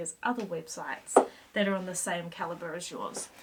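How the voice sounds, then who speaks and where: Against noticeable background noise, a woman talks at a fairly quick pace with ordinary pitch variation. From New Zealand. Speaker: SEO consultant; presenter. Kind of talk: casual talk to camera. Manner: upbeat, playful. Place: home room.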